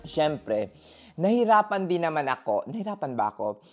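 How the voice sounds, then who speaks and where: With music behind her, a woman speaks loudly and at a fairly slow pace in an animated tone, her very deep, low voice making very wide pitch swings. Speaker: nurse. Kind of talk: casual vlog talk to camera. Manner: loud, animated, expressive.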